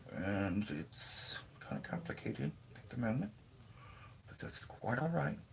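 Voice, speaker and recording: A man with a fairly low pitch talks at a fairly slow pace, his pitch swinging very widely. Long, frequent pauses break his speech over noticeable background noise. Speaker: crochet vlogger. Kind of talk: tutorial. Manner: halting.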